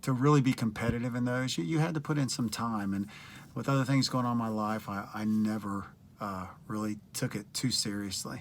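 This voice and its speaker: The speaker has an American accent and ordinary pitch variation on a very clean recording with a silent background. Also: man, medium pitch for a man, fairly quick pace. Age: 60s. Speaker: retired teacher and fitness coach. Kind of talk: video application monologue. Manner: casual with frequent fillers and hesitations.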